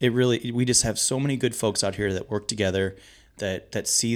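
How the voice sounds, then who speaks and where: A man with an American accent uses an ordinary speaking voice at a moderate pace with ordinary pitch variation, in a very clean recording with a silent background. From US Midwest, St. Louis area. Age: 30s. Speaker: pub owner. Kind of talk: casual interview.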